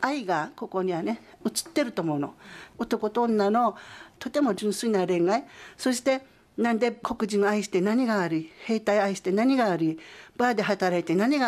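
A plain, everyday voice moves at a moderate pace. The intonation is lively. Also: woman. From Okinawa, Japan. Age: 50s. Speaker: photographer. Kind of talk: interview testimony.

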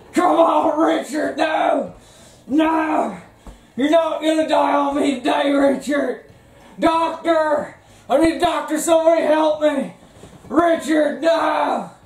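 Put-on character voice, high-pitched, at a fairly slow pace with slight echo. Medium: comedy sketch. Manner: folksy, excitable.

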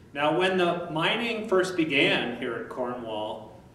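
A man at a moderate pace, with light background noise and audible room echo. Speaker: tour guide. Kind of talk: guided tour explanation. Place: hall.

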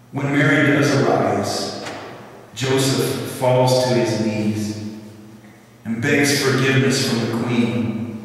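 Strong room echo surrounds a man speaking at a very slow pace. He keeps a fairly even intonation, with long, frequent pauses. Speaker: lay speaker or preacher. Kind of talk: religious talk, storytelling. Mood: warm, light humor. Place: church. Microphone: podium.

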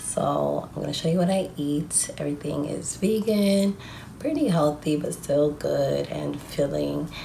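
Light background noise behind a woman speaking fairly slowly. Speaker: vlogger. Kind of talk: casual vlog chat. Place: home room. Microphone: phone near.

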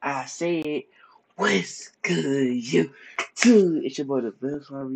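A man speaks over noticeable background noise. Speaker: vlogger. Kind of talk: casual vlog chat. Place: home room. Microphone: phone near.

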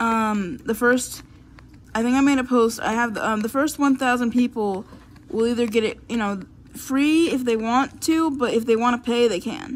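Over light background noise, a woman with an American accent talks at a moderate pace in a high pitch with ordinary pitch variation. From Florida. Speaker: YouTuber. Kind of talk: casual chat; casual vlog chat. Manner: halting. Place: home room. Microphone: phone near.

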